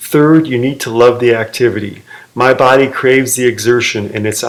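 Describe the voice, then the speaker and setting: A man with an American accent speaks in a normal speaking voice at medium pitch and a fairly quick pace, his intonation fairly even. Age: 60s. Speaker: fitness video maker. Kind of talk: personal vlog monologue.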